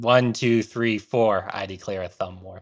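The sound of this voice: A man's booming, put-on character voice at a fairly low pitch, with fairly even intonation and a moderate pace, on a very clean recording with a silent background.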